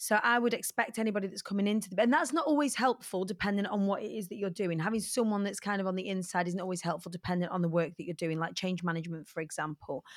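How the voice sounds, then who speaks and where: Over noticeable background noise, a woman with a medium pitch talks at a very fast pace with hardly any pauses. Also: ordinary pitch variation. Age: 40s. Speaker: motivational speaker and entertainer. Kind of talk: interview conversation.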